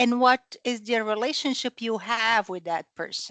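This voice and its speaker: A woman with a non-native accent speaks at a fairly high pitch. The sound is dry and close with no echo, over a quiet background. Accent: foreign. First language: not English. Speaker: training participant. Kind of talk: group discussion comment. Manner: halting.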